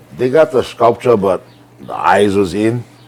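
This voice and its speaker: Noticeable noise fills the background. A man speaks over it at a moderate pace. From Hawaii, Maui. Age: 60s. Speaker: ranch cowboy. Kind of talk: casual chat.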